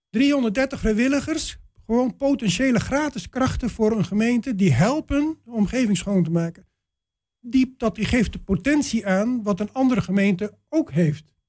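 A man speaks with lively intonation. His pitch runs high. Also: moderate pace. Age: 60s. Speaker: retired vet and litter-picking volunteer. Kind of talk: radio interview. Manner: halting.

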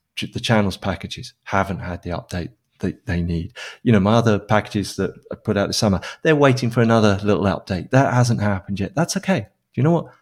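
A man with a British accent speaks at a fairly quick pace. His pitch is fairly low with ordinary variation, on a very clean recording with a silent background. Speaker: software developer and open source maintainer. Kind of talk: casual interview. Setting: living in Spain.

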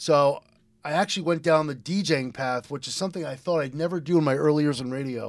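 Someone talks at a very fast pace in an American accent. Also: man, very clean recording, silent background. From eastern Connecticut, US. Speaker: radio DJ. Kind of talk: casual radio interview.

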